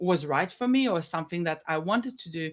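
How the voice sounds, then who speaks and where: Fairly low-pitched woman's voice with an Israeli accent, in a very clean recording with a silent background. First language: Hebrew. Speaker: business consultant. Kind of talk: podcast interview. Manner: hesitant, many fillers.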